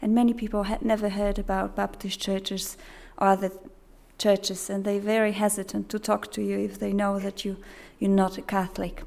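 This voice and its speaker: A woman with a Polish accent speaks fairly quickly in a medium pitch, her intonation monotone and flat. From Poland. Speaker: missionary. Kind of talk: presentation.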